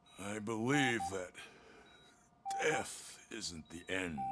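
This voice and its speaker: His words come out at a very slow pace. The man is doing a put-on character voice that sounds raspy. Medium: video game. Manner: slow, frail.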